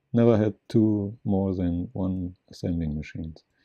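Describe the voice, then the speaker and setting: A man with a non-native accent talks at a fairly slow pace in a dark, mellow tone. His pitch varies in an ordinary way. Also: dry, close sound with no echo. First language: not English. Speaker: gaming video creator. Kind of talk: gameplay commentary. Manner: halting.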